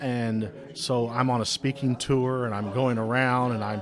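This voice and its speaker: Over noticeable background noise, a man talks in a medium pitch with a monotone, flat intonation. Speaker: radio executive and author. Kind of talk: interview. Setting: recorded at a trade expo. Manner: halting, repeating words. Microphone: studio microphone.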